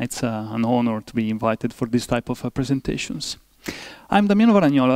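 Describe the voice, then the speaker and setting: In an Italian accent, a man speaks at a fairly quick pace with a medium pitch. The sound is dry and close, with no echo. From Italy. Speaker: professor. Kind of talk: lecture. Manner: halting, many fillers.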